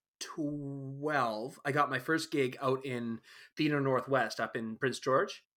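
In a Canadian accent, a man speaks very slowly with a fairly high pitch and ordinary pitch variation. His tone is bright and sharp, and the recording is very clean with a silent background. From Alberta, Canada. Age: 30s. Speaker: scenic painter and set designer. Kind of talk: casual chat.

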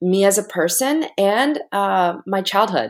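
Speaking very slowly, a woman with an American accent uses a medium pitch with very wide pitch swings. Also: very clean recording, silent background. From United States, Korean American family. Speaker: mindset and motivation coach, taekwondo master. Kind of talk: interview conversation.

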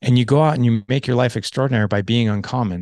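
A normal speaking voice at a fairly quick pace, with ordinary pitch variation and a quiet background. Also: man. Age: 40s. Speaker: men's coach and podcaster. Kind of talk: casual chat.

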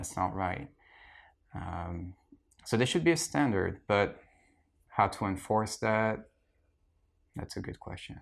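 A man with a French accent speaks at a fairly slow pace with lively intonation, big swings in loudness and long, frequent pauses in a very clean recording with a silent background. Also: fairly low pitch for a man. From France. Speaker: archaeologist. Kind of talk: casual interview. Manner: hesitant, many fillers.

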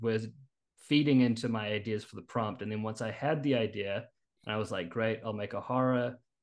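This man has a New Zealand accent. He keeps a moderate pace and fairly even intonation. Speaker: screenwriter. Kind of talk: interview. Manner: halting.

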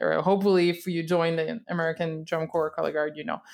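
Fairly low in pitch, a woman with a Quebec accent speaks on a very clean recording with a silent background. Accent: Québécois French accent in English. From Quebec, Canada. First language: French. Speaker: podcast host, color guard instructor. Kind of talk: casual interview.

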